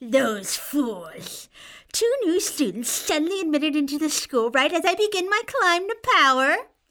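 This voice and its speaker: A put-on character voice speaks at a high pitch and a moderate pace. The recording is very clean, with a silent background. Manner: screaming, gloating.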